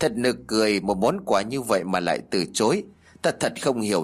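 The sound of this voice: An unforced reading voice, lively in intonation.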